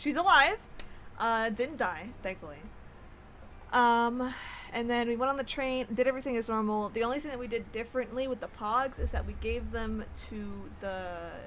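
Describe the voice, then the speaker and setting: A woman talks at a moderate speed, stopping often for long pauses. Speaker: video game streamer. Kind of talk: casual gameplay commentary. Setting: live stream. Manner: loud; casual, filler-heavy.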